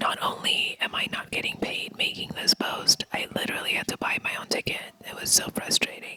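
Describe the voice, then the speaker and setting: Over noticeable background noise comes whispering at a moderate pace. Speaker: vlogger. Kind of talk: casual vlog narration.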